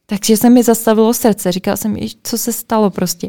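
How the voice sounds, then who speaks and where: Fairly high for a woman, her voice has a dark, mellow tone and moves at a fairly quick pace. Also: dry, close sound with no echo. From Czech Republic, Plzeň. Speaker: podcast host. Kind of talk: casual chat.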